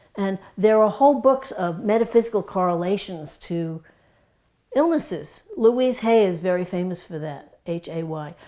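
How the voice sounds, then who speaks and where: Speaking at a moderate pace, a woman with a slight Brooklyn accent uses lively intonation in a medium-pitched voice with a dark, mellow tone. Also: big swings in loudness. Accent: slight Brooklyn New York. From New York (Brooklyn). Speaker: doctor / wellness educator. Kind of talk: casual talk to camera.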